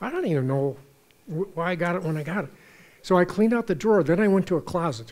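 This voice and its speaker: Very fast and lively in intonation, a man speaks with a high pitch. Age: 70s. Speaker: author and speaker on purpose and aging. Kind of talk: onstage conversation.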